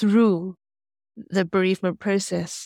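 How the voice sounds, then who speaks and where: Speaking very slowly with a British accent, a woman keeps a medium pitch and fairly even intonation. The recording is very clean, with a silent background and a dry, close sound with no echo. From England. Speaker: author, guest. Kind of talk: interview, storytelling.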